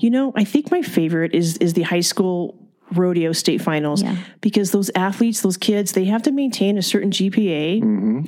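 With an American accent, a woman talks at a moderate pace in a medium pitch, her tone dark and mellow, her intonation lively and her loudness very even. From California, Ventura County (Fillmore). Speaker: fairgrounds CEO. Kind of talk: interview, casual chat.

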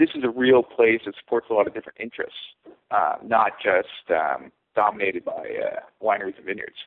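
A man speaks with a West Coast accent. His pace is moderate. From California. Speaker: winemaker. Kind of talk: interview.

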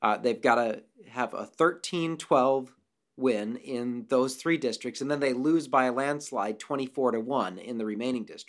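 Here a man speaks at a moderate pace and a medium pitch. He has an ordinary speaking voice with ordinary pitch variation. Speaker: mathematics department chair. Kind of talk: interview explanation.

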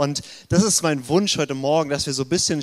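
A man with an ordinary speaking voice, fairly high in pitch with ordinary pitch variation, at a fairly quick pace. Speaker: pastor. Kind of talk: sermon.

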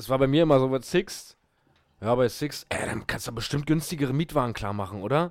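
This man has an ordinary speaking voice and talks at a fairly quick pace, with a medium pitch and ordinary pitch variation. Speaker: podcast co-host. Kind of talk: casual chat.

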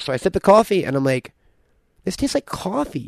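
A man speaks with a fairly high pitch and very wide pitch swings. The sound is dry and close with no echo, over a quiet background. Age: 30s. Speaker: podcast host. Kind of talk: casual chat.

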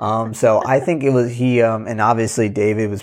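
Talking at a fairly quick pace, a man with an unremarkable speaking voice keeps a medium pitch and fairly even intonation. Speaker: podcast co-host. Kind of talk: podcast intro and outro. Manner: filler-heavy, casual.

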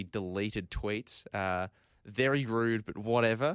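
In an Australian accent, a man talks at a medium pitch with ordinary pitch variation, the sound dry and close with no echo. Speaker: football radio co-host and commentator. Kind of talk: casual chat.

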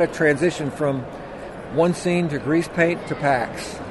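A man's fairly high voice with fairly even intonation, noticeable background noise and audible room echo. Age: 60s. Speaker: special effects makeup artist. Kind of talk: interview.

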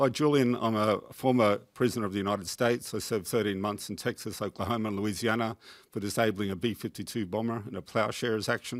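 The speaker talks at a very fast pace with hardly any pauses. The delivery has an Australian accent and fairly even intonation. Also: man, fairly low pitch for a man, very clean recording, silent background. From Queensland, Australia. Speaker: peace activist. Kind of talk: audience contribution. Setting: tv studio with audience.

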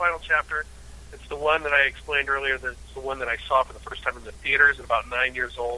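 Someone with an American accent talks at a very fast pace. The pitch variation is ordinary, and there is noticeable background noise. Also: man. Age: 40s. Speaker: podcast co-host. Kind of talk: casual chat.

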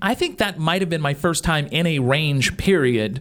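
A man talks at a fairly slow pace in a plain, everyday voice, fairly high-pitched with ordinary pitch variation. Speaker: radio host. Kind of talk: casual radio chat. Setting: studio.

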